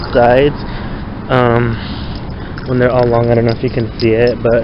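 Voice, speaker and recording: A man speaks at a moderate pace, the sound dry with no echo and noticeable background noise behind him. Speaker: vlogger. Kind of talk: casual vlog chat. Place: street. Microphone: phone near.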